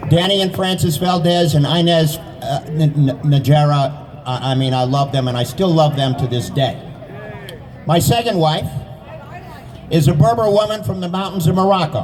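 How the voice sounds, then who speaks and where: A man with an animated tone at a fairly high pitch and moderate pace, ordinary pitch variation, audible room echo and noticeable background noise. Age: 70s. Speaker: taxi driver and rally speaker. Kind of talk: impromptu rally speech.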